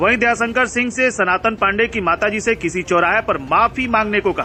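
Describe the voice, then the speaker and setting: A man's high voice with ordinary pitch variation over noticeable background noise. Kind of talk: news report narration.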